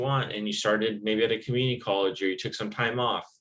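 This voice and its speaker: An American accent with fairly even intonation is heard in a room with audible echo. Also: man. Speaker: college instructor. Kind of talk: recorded lecture. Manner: monotone.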